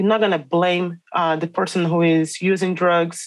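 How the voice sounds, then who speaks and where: A woman with a Portuguese accent, fairly low in pitch, at a moderate pace against a quiet background. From Brazil. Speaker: educator and researcher. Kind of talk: interview conversation. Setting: remote call from Brazil.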